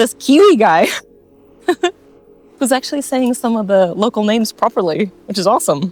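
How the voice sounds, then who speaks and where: Music plays in the background as a woman speaks in a relaxed tone. Her pitch is fairly high and her intonation lively. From United States. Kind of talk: casual talk to camera. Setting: outdoors. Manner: relaxed, chatty.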